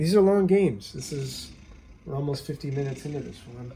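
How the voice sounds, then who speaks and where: Somewhat breathy, a man talks at a medium pitch. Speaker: gaming YouTuber. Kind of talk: gameplay commentary. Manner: halting, many fillers.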